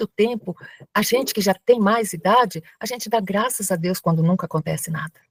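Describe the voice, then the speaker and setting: A woman speaks at a medium pitch with lively intonation and a somewhat breathy quality. Her moderate pace comes through in a dry, close sound with no echo. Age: 70s. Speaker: spiritist lecturer and crisis-line volunteer. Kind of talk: lecture.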